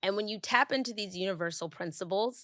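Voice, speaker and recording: The recording is very clean with a silent background, and the pitch varies in an ordinary way. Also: woman. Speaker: podcast host. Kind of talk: solo podcast reflection. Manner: halting with long pauses; casual.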